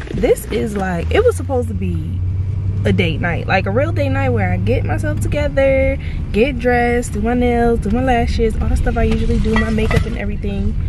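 A woman with an American accent at a fairly quick pace, a dry sound with no echo, and noticeable background noise. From New Jersey. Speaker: vlogger. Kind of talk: casual vlog talk to camera. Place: car. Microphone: phone near.

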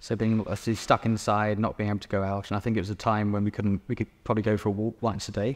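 A man talks very fast, with hardly any pauses. His fairly low voice stays monotone and flat. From England, East Sussex; England. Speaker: painter. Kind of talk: interview; interview answer. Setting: gallery exhibition. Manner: hesitant, many fillers. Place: hall.

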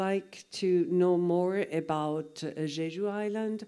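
Speech unfolds at a very slow pace over a quiet background. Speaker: interpreter. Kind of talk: consecutive interpreting. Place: hall.

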